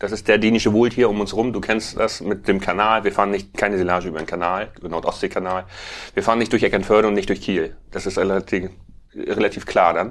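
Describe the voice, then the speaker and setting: Over a silent background in a very clean recording, a man talks at a very fast pace with a fairly low pitch and fairly even intonation. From Schleswig-Holstein, northern Germany. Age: 40s. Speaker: farmer and bioenergy entrepreneur. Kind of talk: casual interview.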